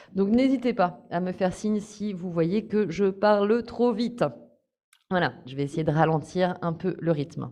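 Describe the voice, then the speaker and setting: Her tone is dark and mellow as this woman speaks at a fairly slow pace. Her pitch is medium, with ordinary variation. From France, Paris. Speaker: course trainer. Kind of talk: online training session.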